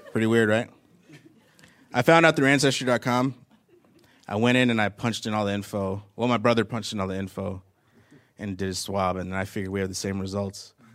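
Speaking at a fairly quick pace with long, frequent pauses, a man uses a fairly low pitch and ordinary pitch variation. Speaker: comedian. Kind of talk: stand-up. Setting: stage with audience.

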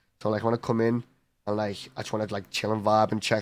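A man's fairly low, monotone, flat voice with a Liverpool accent at a fairly quick pace, on a very clean recording with a silent background. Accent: Scouse. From Liverpool, England. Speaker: esports professional gamer. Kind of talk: casual interview.

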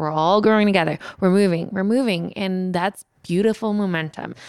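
A woman's ordinary speaking voice at medium pitch with ordinary pitch variation, in a very clean recording with a silent background. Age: 30s. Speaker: YouTuber and content creator. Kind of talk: casual interview chat.

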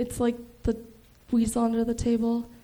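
With an American accent, a woman talks at a moderate speed. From Chicago. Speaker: comedian. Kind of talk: stand-up. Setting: stage with audience. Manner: monotone.

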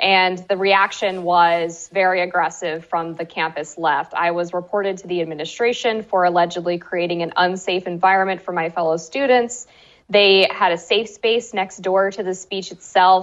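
In an American accent, a plain, everyday voice talks at a moderate pace with hardly any pauses and fairly even intonation. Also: woman, medium pitch for a woman. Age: 20s. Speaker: journalist and author. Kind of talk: interview.

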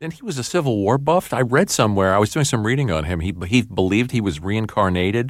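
In a New York accent, a man with a fairly low pitch and lively intonation speaks at a very fast pace with hardly any pauses, in a very clean recording with a silent background. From New York City. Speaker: podcast co-host. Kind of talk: interview.

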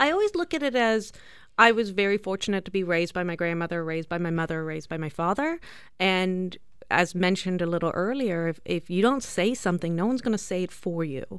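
Speaking at a very fast pace with ordinary pitch variation, a woman is heard on a very clean recording with a silent background. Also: medium pitch for a woman. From South Africa. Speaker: beauty company executive. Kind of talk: radio interview. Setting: radio studio.

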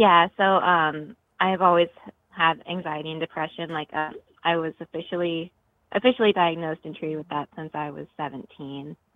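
A woman with a fairly low pitch speaks at a moderate pace in a plain, everyday voice. Her intonation is fairly even. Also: big swings in loudness. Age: 20s. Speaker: caller. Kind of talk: phone call.

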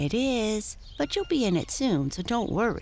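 Someone in a put-on character voice speaks at a moderate pace and fairly high pitch, with clear background noise. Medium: read story. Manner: modest, kind.

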